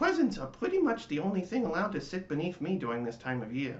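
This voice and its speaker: Using a put-on character voice, a man speaks at a very fast pace in a high pitch. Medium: read story.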